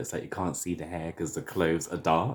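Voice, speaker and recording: Speaking with a London accent, a man with a very deep, low pitch keeps a moderate pace. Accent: British (London). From London, England. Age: 30s. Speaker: hair vlogger. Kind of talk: casual vlog tutorial.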